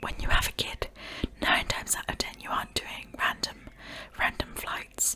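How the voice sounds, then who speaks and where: Whispering in a soothing tone, a woman speaks at a moderate pace over noticeable background noise. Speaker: ASMR creator. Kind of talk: giving her own opinion on the story. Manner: whispered, soothing.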